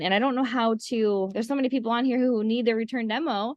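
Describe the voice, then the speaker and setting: A woman's fairly high-pitched voice with ordinary pitch variation, over a quiet background. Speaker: essential oils class teacher. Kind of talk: online class talk. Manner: fast.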